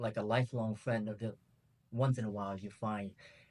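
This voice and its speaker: With a Vietnamese accent, a man talks at a moderate pace in a medium pitch, his intonation fairly even. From Vietnam, Ho Chi Minh City. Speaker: travel youtuber and martial artist. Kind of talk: interview. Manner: hesitant, many fillers.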